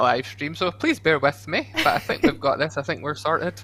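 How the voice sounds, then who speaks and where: Speaking at a very fast pace, the man sounds fairly high in pitch. His delivery moves quickly throughout. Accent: Scottish. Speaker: zoo education ranger, former zookeeper. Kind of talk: casual livestream interview.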